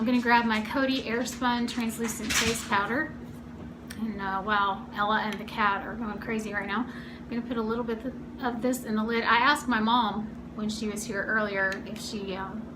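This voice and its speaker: The delivery is monotone and flat in intonation. Audible room echo and noticeable background noise fill the recording. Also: woman, fairly high pitch for a woman. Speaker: beauty vlogger. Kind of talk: makeup tutorial. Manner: fast; casual chatty.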